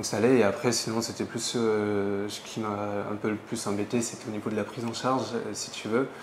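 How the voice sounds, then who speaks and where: A man at medium pitch talks at a fairly quick pace in a flat monotone, with noticeable background noise behind him. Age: 20s. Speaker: hair transplant patient. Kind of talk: interview. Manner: hesitant, many fillers.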